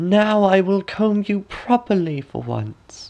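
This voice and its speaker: Using a put-on character voice, a man talks at a fairly slow pace with a high pitch. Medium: read story. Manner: scheming, sly.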